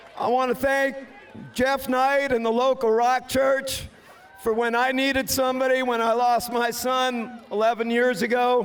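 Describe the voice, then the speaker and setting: Speaking at a fairly slow pace, a man holds a monotone, flat intonation with very even loudness and an extremely high pitch, over noticeable background noise. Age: 60s. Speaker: demolition race driver. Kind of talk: post-race interview.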